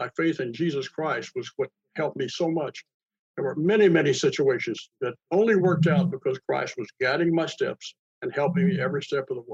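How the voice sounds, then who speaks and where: A man's high voice at a fairly quick pace, dry and close with no echo. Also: ordinary pitch variation. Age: 80s+. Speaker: retired inventory management author and consultant. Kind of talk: interview.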